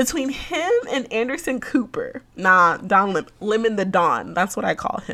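Over noticeable background noise, a woman with a fairly high pitch sounds animated, her voice making very wide pitch swings. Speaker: podcast host. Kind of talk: casual monologue. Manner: animated, frequent laughter.

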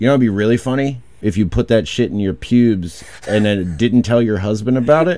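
Someone reads in an unforced voice. The pitch moves up and down in an ordinary way.

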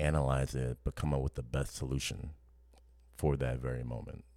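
A man in a New Orleans accent, with monotone, flat intonation at a moderate pace. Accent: New Orleans Southern US. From New Orleans, US South. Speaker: podcast co-host. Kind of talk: casual chat.

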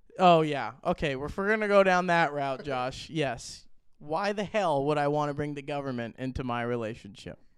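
A man's fairly high-pitched voice, moderate in pace, with lively intonation. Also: quiet background. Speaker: podcast co-host. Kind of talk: angry rant about golf. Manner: ranting, loud, emphatic, sarcastic.

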